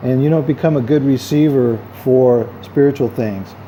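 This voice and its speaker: Speaking in a medium pitch, a man shows ordinary pitch variation. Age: 50s. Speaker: vlogger and self-help author. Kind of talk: casual vlog monologue. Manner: hesitant, many fillers; talkative.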